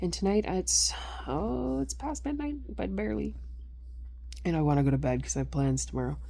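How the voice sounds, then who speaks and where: A woman talks at a fairly quick pace but with long, frequent pauses, and audible room echo surrounds her voice. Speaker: personal vlogger. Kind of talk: casual monologue. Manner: rambling, casual, late-night.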